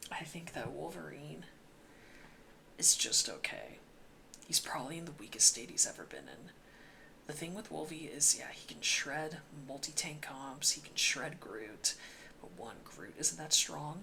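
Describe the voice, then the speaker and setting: Someone whispers at a fairly slow pace with long, frequent pauses. Noticeable background noise sits under the voice. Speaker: gaming YouTuber. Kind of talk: casual commentary monologue. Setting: home recording late at night. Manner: quiet, mellow volume.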